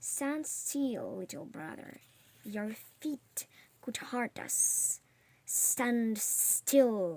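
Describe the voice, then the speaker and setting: Quiet and very slow, a woman's put-on character voice sits fairly high with lively intonation, over audible hissing. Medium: read story.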